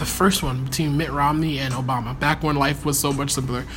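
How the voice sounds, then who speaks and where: Fairly quick, fairly high-pitched speech from a man amid noticeable background noise. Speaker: podcast host. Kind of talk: casual conversation.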